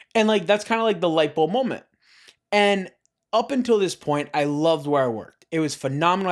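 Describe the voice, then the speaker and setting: A man with an American accent, very fast and high-pitched, his intonation lively, on a very clean recording with a silent background. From Florida (Parkland). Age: 20s. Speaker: young entrepreneur. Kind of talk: casual interview.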